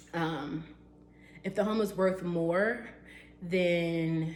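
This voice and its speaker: Audible room echo surrounds a woman with a fairly low pitch. Her intonation stays fairly even. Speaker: real estate agent. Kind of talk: tutorial. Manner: casual with fillers.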